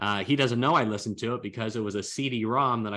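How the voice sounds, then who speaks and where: A man speaks at a fairly quick pace and a medium pitch, with ordinary pitch variation. His tone is bright and sharp, and the background is quiet. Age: 40s. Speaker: chiropractor and network marketer. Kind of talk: business presentation.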